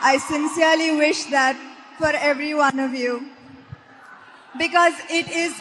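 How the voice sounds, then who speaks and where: A woman's high voice in an Indian accent, fairly slow and fairly even, broken by long, frequent pauses. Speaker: actress. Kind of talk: speech to students. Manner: inspirational.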